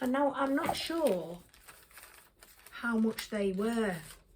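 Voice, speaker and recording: Speaking with an English accent, a woman uses a fairly high pitch at a fairly slow pace. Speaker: shopping haul vlogger. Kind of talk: casual chat. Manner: casual, hesitant with fillers.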